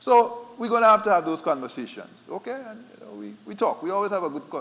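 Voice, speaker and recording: A man with an Eastern Caribbean accent, talking at a very fast pace. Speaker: central bank official. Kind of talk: conference panel talk.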